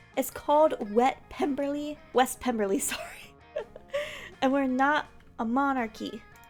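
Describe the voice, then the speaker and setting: Using a squeaky put-on character voice, a high-pitched woman speaks at a moderate pace with long, frequent pauses over faint music in the background. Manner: squeaky, shouting up.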